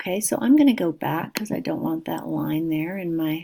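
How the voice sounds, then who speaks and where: The recording is very clean, with a silent background. A woman speaks at a fairly slow pace in a dark, mellow tone. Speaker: cake decorator and spreadsheet tutor. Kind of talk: software tutorial.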